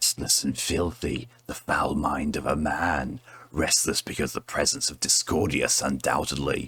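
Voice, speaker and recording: A man puts on a character voice with a very deep, low pitch. His delivery is sinister and theatrical, at a moderate pace. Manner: sinister, theatrical.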